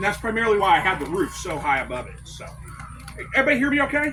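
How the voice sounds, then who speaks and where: A man talks very fast in a raised, projected voice with very wide pitch swings. Audible room echo and noticeable background noise fill the recording. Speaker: quail and rabbit homesteader giving a talk. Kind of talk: presentation to a live audience. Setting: convention room with audience. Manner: projecting, loud.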